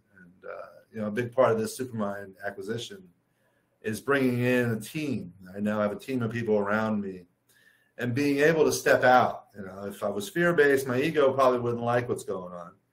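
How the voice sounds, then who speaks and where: This man talks at a fairly quick pace and medium pitch. His pitch varies in an ordinary way, and his loudness swings widely. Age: 60s. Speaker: author and life coach. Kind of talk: interview. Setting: video call. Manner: halting.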